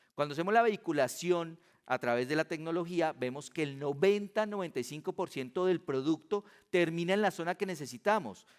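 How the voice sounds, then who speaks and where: Recorded dry and close with no echo, a man talks at a fairly quick pace in a high pitch with ordinary pitch variation. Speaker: physician giving a conference talk. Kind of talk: conference lecture. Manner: fast.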